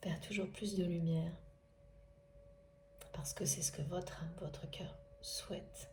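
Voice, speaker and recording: Speaking at a fairly slow pace, a woman leaves long, frequent pauses in a room with audible echo. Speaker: spiritual guidance reader. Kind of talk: spiritual guidance monologue.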